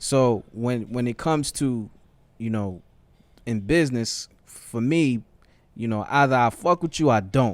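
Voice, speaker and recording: Speaking fairly slowly with long, frequent pauses, a man with a New York accent keeps a medium pitch and ordinary pitch variation. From New York, the Bronx. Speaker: music label executive. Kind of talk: podcast conversation.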